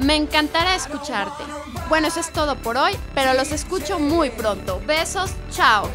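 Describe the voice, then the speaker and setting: A woman's raised, projected voice, high-pitched and upbeat, with ordinary pitch variation at a fairly slow pace over music in the background. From Mexico. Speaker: actress, host and voice-over artist. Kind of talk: youth radio show hosting. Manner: upbeat, friendly.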